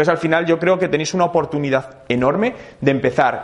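In an ordinary speaking voice, a man talks at a fairly quick pace with lively intonation and a fairly high pitch. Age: 30s. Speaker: digital marketing speaker. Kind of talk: interactive talk to audience.

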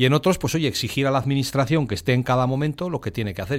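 The recording is very clean with a silent background as a man speaks very fast. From Spain, Burgos. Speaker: radio panelist. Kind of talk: radio roundtable discussion.

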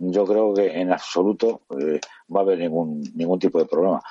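A man with a dark, mellow tone speaks at a moderate pace with very wide pitch swings, in a dry, close sound with no echo. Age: 50s. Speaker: taxi driver. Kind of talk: casual chat.

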